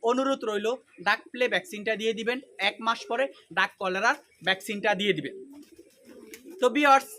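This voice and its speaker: A man speaks with a raised, projected voice. His pitch is high, with ordinary pitch variation. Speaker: duck farmer and YouTuber. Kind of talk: farming tutorial.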